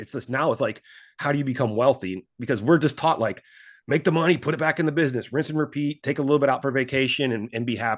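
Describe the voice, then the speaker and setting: A man speaks very fast, his pitch fairly high. The background is quiet. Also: ordinary pitch variation. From US Midwest. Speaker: financial advisor, former stockbroker. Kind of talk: interview. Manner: animated.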